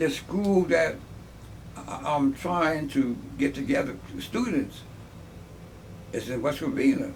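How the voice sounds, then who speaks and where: At a very slow pace with long, frequent pauses, a man with fairly high pitch swings his voice very widely amid audible room echo. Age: 70s. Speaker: army veteran. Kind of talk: interview. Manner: halting.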